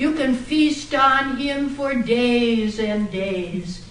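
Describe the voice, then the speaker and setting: Noticeable background noise sits under a woman's high-pitched voice. Her intonation is lively. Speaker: storyteller; former teacher. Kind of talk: live storytelling speech. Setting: club meeting room. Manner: animated, playful.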